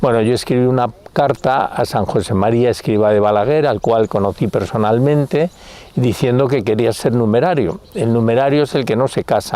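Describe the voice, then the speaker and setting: Noticeable background noise runs under the speech. Pitch varies in an ordinary way while loudness stays very even. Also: man, medium pitch for a man, moderate pace. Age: 70s. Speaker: religious convert giving testimony. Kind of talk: testimony. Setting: outdoors.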